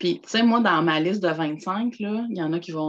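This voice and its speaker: Speaking in a Quebec accent, a woman uses a fairly low pitch, lively intonation and a fairly slow pace. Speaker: personal development contributor. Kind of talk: casual chat.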